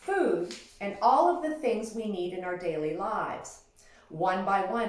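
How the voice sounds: A natural reading voice carries the words. The intonation moves in a lively way.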